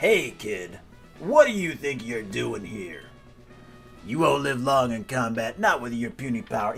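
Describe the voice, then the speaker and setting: Over clear music in the background, a man performs a put-on character voice at medium pitch and a moderate pace. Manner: gruff, intimidating.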